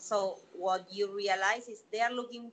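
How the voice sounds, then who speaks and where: With a Spanish accent, a woman speaks at a fairly slow pace. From Latin America. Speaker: opera actress and theater teacher. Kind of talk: casual interview.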